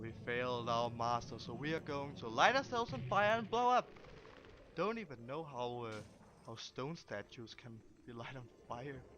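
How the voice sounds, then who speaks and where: Speaking with a Danish accent at a moderate pace, the voice shows ordinary pitch variation and big swings in loudness. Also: man, medium pitch for a man. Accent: Danish accent, noticeable. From Denmark. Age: 20s. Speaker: gaming youtuber. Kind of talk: gameplay commentary. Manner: halting, many fillers and repeats.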